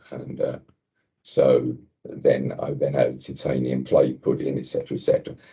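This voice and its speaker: A man talks with an English accent. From England. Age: 70s. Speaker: cancer patient sharing experience. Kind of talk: podcast interview, personal story. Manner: halting, many fillers.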